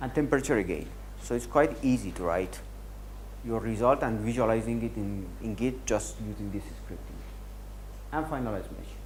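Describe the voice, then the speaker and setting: A man talks with long, frequent pauses. Audible room echo surrounds the voice. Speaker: software workshop instructor. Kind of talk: technical tutorial. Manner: fast.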